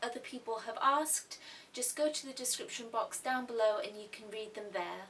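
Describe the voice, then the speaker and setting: Speaking in an English accent, the voice keeps a moderate pace with ordinary pitch variation. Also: woman. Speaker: YouTube artist vlogger. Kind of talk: casual vlog Q&A.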